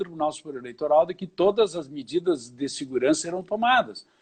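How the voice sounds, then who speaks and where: Against a quiet background, a man with a high pitch and a dark, mellow tone speaks at a moderate pace. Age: 60s. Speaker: lawyer and law professor. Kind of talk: casual interview chat. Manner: animated.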